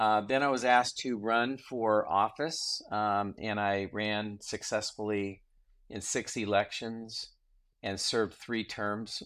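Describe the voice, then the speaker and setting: With an unremarkable speaking voice, a man talks in a fairly low pitch and fairly even intonation on a very clean recording with a silent background. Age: 60s. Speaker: entrepreneur and former state senator. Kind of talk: interview.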